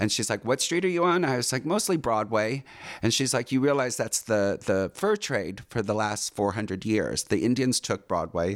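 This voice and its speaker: A man with an American accent has a normal speaking voice at medium pitch, with lively intonation and a moderate pace. His loudness stays very even, and the recording is very clean with a silent background. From California, Orange County. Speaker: dancer, actor and casting director. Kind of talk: casual interview, life story.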